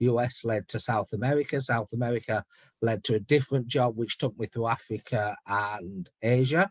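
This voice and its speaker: With a British accent, a man talks at a moderate pace in a medium pitch, using ordinary pitch variation, in a dry, close recording with no echo. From UK. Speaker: head distiller. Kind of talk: virtual tasting talk.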